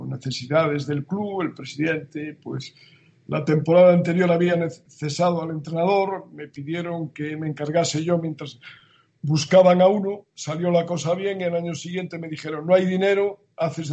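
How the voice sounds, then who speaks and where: Speaking at a high pitch and a moderate pace, a man keeps fairly even intonation while his loudness swings widely. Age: 70s. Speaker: strength and conditioning coach. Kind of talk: interview.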